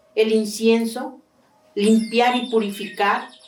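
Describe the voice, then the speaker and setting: A woman's voice amid noticeable background noise. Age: 70s. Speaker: traditional prayer leader. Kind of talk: testimony.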